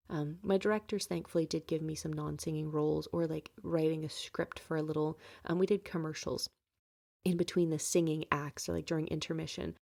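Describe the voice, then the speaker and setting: The recording is very clean, with a silent background. The voice has a dark, mellow tone and a monotone, flat intonation. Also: woman, very deep, low pitch for a woman. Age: 20s. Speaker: podcast host. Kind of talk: personal monologue podcast.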